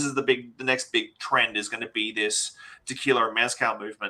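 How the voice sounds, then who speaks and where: With an Australian accent, a man talks at a fairly quick pace in a bright, sharp tone. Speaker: bar owner and spirits expert. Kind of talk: interview.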